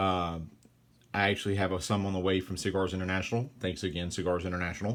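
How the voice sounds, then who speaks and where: In a Louisiana accent, a man talks at a very fast pace with a very deep, low pitch and fairly even intonation. The recording is very clean, with a silent background. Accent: Louisiana Southern US. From Central Louisiana. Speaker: cigar reviewer. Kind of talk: casual unboxing monologue. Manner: casual, with many fillers and self-corrections.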